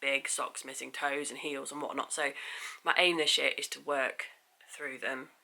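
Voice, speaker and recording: A woman speaks with an English accent. Noticeable background noise runs behind her. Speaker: knitting vlogger. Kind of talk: casual chat. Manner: hesitant, many fillers.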